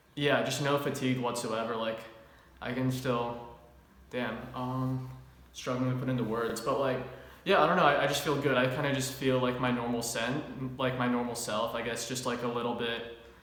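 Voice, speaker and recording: A man's medium-pitched, flat monotone voice, with audible room echo and noticeable background noise. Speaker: fitness youtuber. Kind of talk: product review chat. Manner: fast; casual, many filler words.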